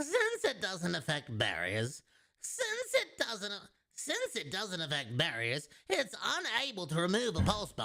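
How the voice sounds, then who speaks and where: A man's put-on character voice, guttural and high-pitched, at a moderate pace. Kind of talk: game strategy guide narration. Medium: game stream. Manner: instructive, repeated takes.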